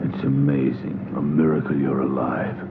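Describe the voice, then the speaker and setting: Loud background noise surrounds a man who, at a moderate pace, speaks in a put-on character voice. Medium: short film.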